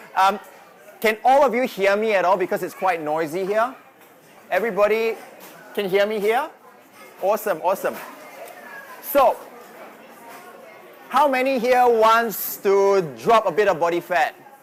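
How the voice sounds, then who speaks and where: Over crowd noise and audible room echo, a high-pitched man with a Singaporean accent talks at a moderate pace with ordinary pitch variation and long, frequent pauses. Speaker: fitness coach. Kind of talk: presentation. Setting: live audience in a noisy venue.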